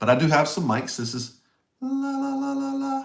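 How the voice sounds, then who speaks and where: A man talks with a Tennessee accent and ordinary pitch variation. Room echo is audible. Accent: US Southern (Tennessee). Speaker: singer-songwriter. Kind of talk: casual livestream chat. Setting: home basement studio livestream. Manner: halting. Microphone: broadcasting microphone in echoey room.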